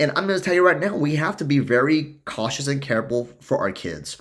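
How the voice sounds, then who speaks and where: Here a man talks at a fairly quick pace with a fairly high pitch. His tone is animated and his intonation lively. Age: 40s. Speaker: life coach podcast host. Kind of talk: solo podcast monologue.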